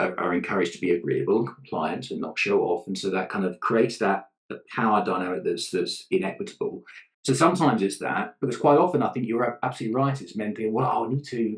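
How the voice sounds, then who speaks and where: Speaking very fast, a man talks in a British accent. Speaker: leadership consultant, gender ally. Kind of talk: podcast interview answer.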